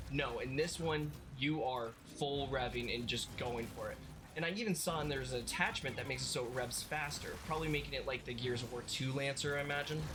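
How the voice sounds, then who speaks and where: Over music in the background and with audible room echo, a man talks at a very fast pace in a fairly high pitch. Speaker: gaming youtuber. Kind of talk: casual gaming commentary. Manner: animated.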